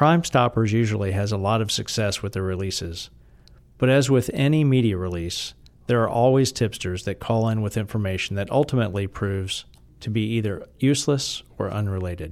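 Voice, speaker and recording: Going at a fairly quick pace, a plain, everyday voice shows ordinary pitch variation. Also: man, fairly low pitch for a man. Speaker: podcast narrator. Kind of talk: true-crime narration. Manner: measured, somber, steady.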